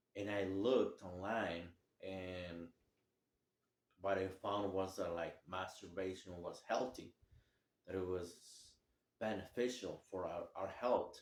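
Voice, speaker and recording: A man with a non-native accent and a very deep, low pitch talks at a very slow pace, leaving long, frequent pauses. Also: fairly even intonation. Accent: heavy non-native. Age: 30s. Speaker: vlogger sharing recovery story. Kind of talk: personal testimony. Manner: halting, many fillers.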